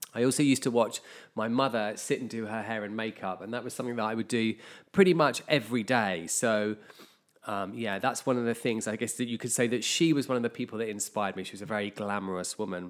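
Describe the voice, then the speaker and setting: Very fast speech from a man at a medium pitch, its pitch variation ordinary. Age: 40s. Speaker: hairdresser and podcast host. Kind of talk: solo casual monologue. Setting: at home.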